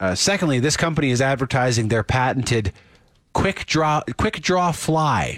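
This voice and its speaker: A man with a normal speaking voice talks at medium pitch and a moderate pace, with lively intonation and very even loudness. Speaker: radio host. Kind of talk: casual chat. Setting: studio.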